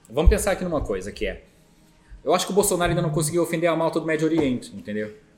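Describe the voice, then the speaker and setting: Over music in the background, a man speaks very fast with lively intonation and a high pitch. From Azores, Terceira island. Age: 40s. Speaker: company founder. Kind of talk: casual interview. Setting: studio. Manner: repeats words, halting.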